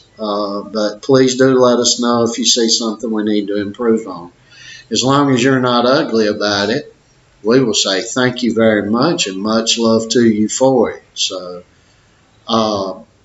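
Audible room echo surrounds a man's voice. He speaks at a fairly slow pace with fairly even intonation. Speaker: boxing trainer or parent. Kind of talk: casual vlog chat. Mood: friendly, good-humored. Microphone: webcam.

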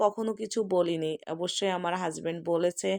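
In a plain, everyday voice, a woman talks at a medium pitch with ordinary pitch variation, the sound dry and close with no echo. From rural Bangladesh. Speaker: vlogger. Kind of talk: personal vlog monologue.

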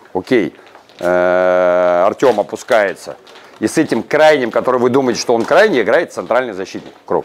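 His pace is moderate. The man's intonation stays lively throughout. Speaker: football head coach. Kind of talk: tactical team talk. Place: hall. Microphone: lapel.

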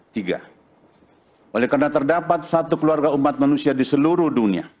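A man's fairly high voice moves at a fairly quick pace. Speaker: religious leader. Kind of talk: reading aloud a formal declaration. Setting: stage with audience at a ceremony. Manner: formal. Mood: solemn, formal. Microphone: podium.

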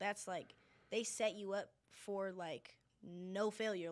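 In an American accent, a woman speaks at medium pitch with monotone, flat intonation. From Denver, Colorado. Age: young. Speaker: singer and designer. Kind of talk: casual chat.

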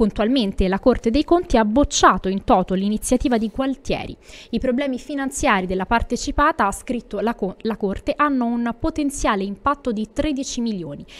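Lively intonation marks this woman's high-pitched voice. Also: moderate pace. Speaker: news presenter. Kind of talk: news reading. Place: studio. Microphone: studio mic.

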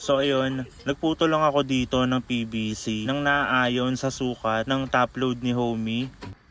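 Speaking very slowly with hardly any pauses, a man at a medium pitch keeps a monotone, flat intonation against noticeable background noise. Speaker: vlogger. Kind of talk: tutorial. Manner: casual.

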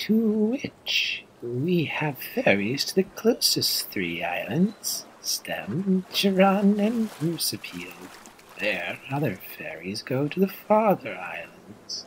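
A man speaks at a very slow pace with a high pitch.

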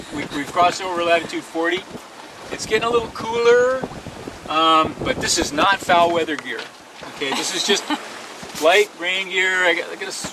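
A high-pitched man speaks at a moderate pace with ordinary pitch variation and long, frequent pauses, in a dry sound with no echo and noticeable background noise. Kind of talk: casual vlog chat. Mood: relaxed, pleased. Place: boat. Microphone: phone near.

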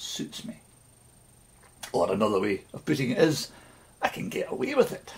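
A man with a Scottish accent speaks at a moderate pace. His voice carries vocal fry.

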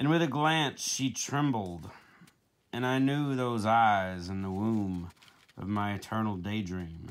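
The speaker is a man with a fairly low voice. He talks very slowly. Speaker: poet. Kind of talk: poetry reading, earnest and measured, after a casual chatty intro. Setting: home video, self-recorded. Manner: casual, jokey and laughing in the intro; slow, deliberate, dramatic delivery when reading the poem. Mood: reflective, gentle. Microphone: phone near.

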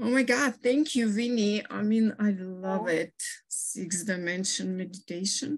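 A woman speaks in a somewhat breathy voice at a fairly slow pace. The background is quiet. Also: medium pitch for a woman, ordinary pitch variation. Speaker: workshop participant.

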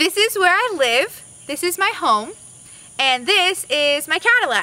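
At a fairly slow pace, a woman uses a raised, projected voice at an extremely high pitch, with dry sound and no echo. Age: 20s. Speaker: recent college graduate. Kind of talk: casting video talk to camera. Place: street.

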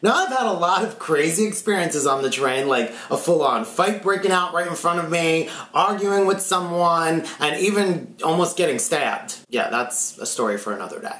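A man talking with hardly any pauses, with audible room echo. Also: moderate pace. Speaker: vlogger. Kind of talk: casual vlog storytelling. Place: home room.

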